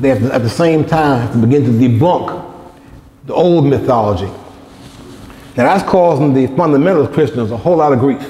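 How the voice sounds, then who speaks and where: Speaking at a fairly quick pace and fairly high pitch, a man uses lively intonation at very even loudness, with long, frequent pauses. Noticeable background noise and audible room echo fill the recording. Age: 60s. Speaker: lecturer. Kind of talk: lecture.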